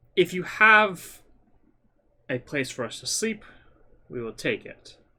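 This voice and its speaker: A man puts on a character voice at a high pitch. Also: fairly slow pace. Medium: actual play. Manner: formal, measured.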